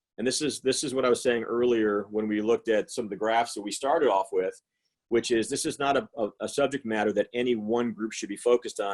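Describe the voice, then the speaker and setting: A man's medium-pitched voice at a fairly quick pace, dry and close with no echo. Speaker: financial and tax planning advisor. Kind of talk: webinar presentation. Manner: fast.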